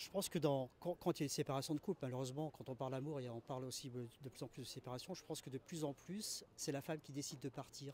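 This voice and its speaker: Somewhat breathy and fairly high-pitched, a man rushes along at a very fast pace with hardly any pauses and ordinary pitch variation. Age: 60s. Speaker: interviewee on the street. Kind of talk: street interview. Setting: outdoors on a terrace. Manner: hesitant, many fillers.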